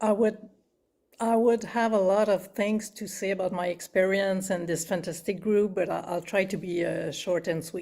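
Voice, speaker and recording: In a French accent, a woman speaks at a fairly slow pace with a medium pitch, fairly even intonation and a dark, mellow tone. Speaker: healing group participant. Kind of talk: testimony. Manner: hesitant.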